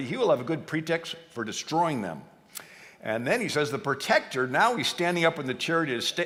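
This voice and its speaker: A man's fairly high voice swings very widely in pitch against noticeable background noise. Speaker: history speaker. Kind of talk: lecture talk. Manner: fast.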